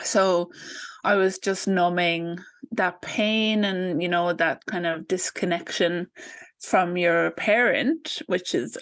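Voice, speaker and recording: Speaking with an Irish accent, a woman uses a fairly low pitch and ordinary pitch variation. She talks at a very slow pace against a quiet background. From Ireland. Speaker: postpartum doula. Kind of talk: interview. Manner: hesitant, many fillers.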